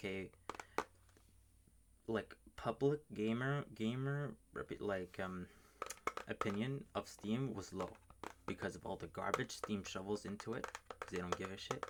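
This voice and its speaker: The speech moves at a fairly slow pace. Long pauses come often. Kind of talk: casual rambling commentary to camera about gaming. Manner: casual, opinionated, unscripted, swears a lot.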